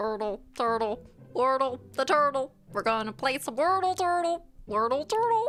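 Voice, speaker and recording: A put-on character voice, female-sounding and high-pitched, at a moderate pace. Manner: silly, sing-song, repetitive.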